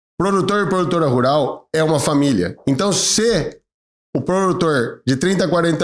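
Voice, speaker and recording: A man with an unremarkable speaking voice keeps a moderate pace, his intonation lively throughout. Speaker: lawyer, channel host. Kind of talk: informative video talk to camera.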